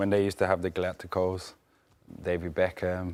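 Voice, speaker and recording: A man talks with a strong Birmingham accent at a very deep, low pitch. The recording is very clean, the background silent. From Birmingham, England. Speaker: football pundit. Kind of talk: casual chat. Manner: animated.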